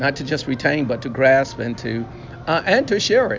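The speech goes at a moderate pace over noticeable background noise. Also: man. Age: 60s. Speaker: pastor. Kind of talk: interview.

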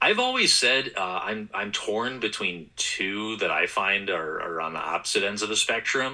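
A man with a normal speaking voice and an American accent, fairly low in pitch with ordinary variation, at a moderate pace. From Wisconsin, US Midwest. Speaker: sports play-by-play broadcaster. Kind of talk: casual interview chat.

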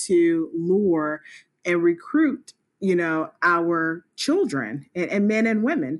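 A woman speaks very slowly in a fairly low voice with an American accent. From US South, South Carolina. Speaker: nonprofit co-founder, police officer. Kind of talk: interview.

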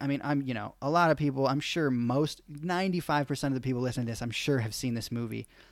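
A man's fairly high voice at a very fast pace on a very clean recording with a silent background. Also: hardly any pauses. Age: 20s. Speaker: podcast host. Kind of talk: casual chat.

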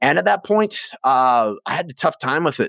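Speaking at a moderate pace with lively intonation, this voice carries a western Canadian accent on a very clean recording with a silent background. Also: man. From Prince George, northern British Columbia, Canada. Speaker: addiction recovery guest, musician. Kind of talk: casual interview, personal testimony.

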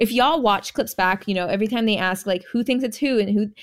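The recording is very clean, and the background is silent. A woman talks in an animated tone. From California, born in Jamaica. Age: 20s. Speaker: reality TV contestant. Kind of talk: casual chat.

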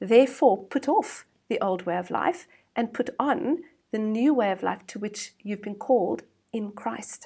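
Lively in intonation, a woman speaks at a fairly high pitch in a dark, mellow tone that is somewhat breathy. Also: fairly slow pace. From South Africa. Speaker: women's ministry worker. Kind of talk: interview.

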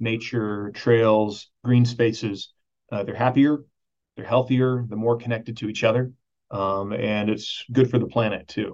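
This man has an unremarkable speaking voice, medium in pitch, with an American accent. His intonation stays fairly even and his pace is fairly slow. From Texas, Dallas. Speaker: parks conservation nonprofit director. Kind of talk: interview conversation. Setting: video call.

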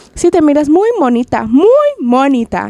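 A woman performs a put-on character voice. She pitches it high and keeps a moderate pace. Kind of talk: Spanish-accented, as dad speaks. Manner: sarcastic.

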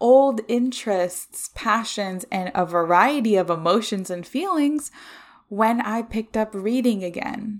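Upbeat and enthusiastic, a woman speaks with ordinary pitch variation in a very clean recording with a silent background. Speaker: podcast host. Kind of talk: solo podcast monologue, personal and reflective. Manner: upbeat, enthusiastic, sometimes raised "customer service" tone; warm, chatty, laughs often.

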